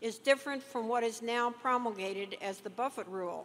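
Fairly high in pitch, a woman uses an ordinary speaking voice at a moderate pace with ordinary pitch variation. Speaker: financial journalist on panel. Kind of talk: Q&A questions.

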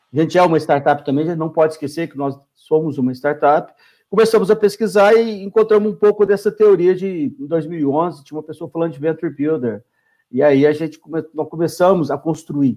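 At a fairly quick pace, a man with a dark, mellow tone and fairly high pitch speaks with ordinary pitch variation and big swings in loudness. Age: 50s. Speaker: startup founder and CEO. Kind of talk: interview. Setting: live stream. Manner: halting.

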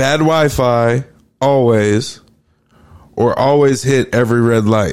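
A man with an unremarkable speaking voice talks at a medium pitch and a fairly slow pace. His intonation is fairly even and his loudness very even. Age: 30s. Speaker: podcast host. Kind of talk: casual chat.

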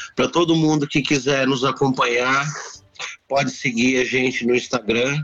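A man speaks in a monotone with flat intonation and very even loudness. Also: medium pitch for a man, moderate pace. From Brazil, São Paulo. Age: 40s. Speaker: restaurant owner. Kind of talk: casual interview.

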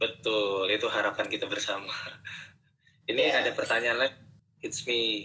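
There are big swings in loudness as a man talks at a moderate pace. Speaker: psychiatry resident doctor, community founder. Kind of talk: casual interview. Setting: Instagram live stream.

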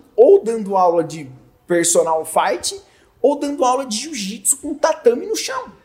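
A man's extremely high-pitched voice at a fairly slow pace, with very wide pitch swings, big swings in loudness and noticeable background noise. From Brazil, Jundiaí (São Paulo state). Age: 30s. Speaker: audiovisual producer. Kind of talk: casual chat.

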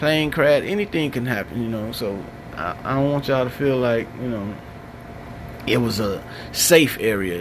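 A man talks at medium pitch and a moderate pace, with ordinary pitch variation. Noticeable background noise and audible room echo are present. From Chicago, West Side. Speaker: podcast host. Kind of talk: solo monologue. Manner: casual, with many fillers.

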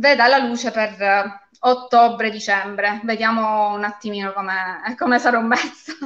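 Speaking at a fairly slow pace, a woman with a plain, everyday voice keeps her pitch fairly high. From Calabria, Castrovillari (Cosenza). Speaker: lawyer and fantasy author. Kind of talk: live interview.

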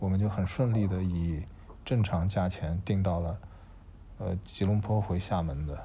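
At a moderate pace broken by long, frequent pauses, a man speaks in a very deep, low, somewhat breathy voice with a dark, mellow tone. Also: fairly even intonation. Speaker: podcast co-host, incoming university professor. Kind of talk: casual chat.

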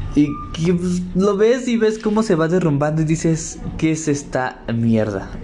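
A man with a fairly high voice talks at a fairly slow pace, his pitch swinging very widely while his loudness stays very even, with music playing behind him and audible room echo. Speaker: podcast host. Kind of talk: casual solo monologue. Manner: halting with many fillers.

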